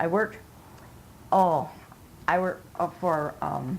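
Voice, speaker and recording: Speaking with an Upper Midwest accent, a woman with a fairly low pitch and vocal fry talks at a fairly slow pace with fairly even intonation. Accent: Upper Midwest American. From northern Michigan, US. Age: 90s. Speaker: oral history interviewee. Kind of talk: oral history interview. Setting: at a relative's home. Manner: halting.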